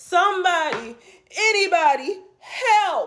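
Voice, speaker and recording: Someone puts on a character voice at an extremely high pitch, speaking at a fairly slow pace. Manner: dramatic pleading.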